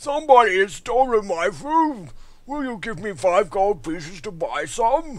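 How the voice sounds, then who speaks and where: A man in a put-on character voice, high-pitched, at a moderate pace. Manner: worried, pleading.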